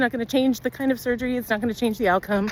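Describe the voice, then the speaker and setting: A woman speaks in a high pitch. Noticeable background noise runs behind her. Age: 50s. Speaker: nurse and vlogger. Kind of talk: personal vlog update. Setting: outdoors on a walk with her dog. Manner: casual, conversational.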